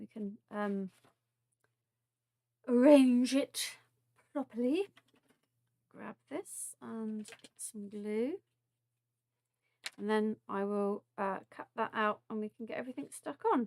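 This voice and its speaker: A woman's fairly high voice with a southern English accent, very slow with long, frequent pauses, big swings in loudness, ordinary pitch variation, and a dry, close sound with no echo. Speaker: craft demonstrator. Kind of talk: live craft tutorial. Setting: live stream. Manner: casual, chatty with filler words.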